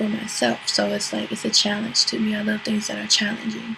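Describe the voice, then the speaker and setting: A soft-spoken woman talks with an American accent. Noticeable background noise runs behind her. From US, Virginia (Portsmouth). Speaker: model. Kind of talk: interview monologue. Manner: hesitant with fillers (um).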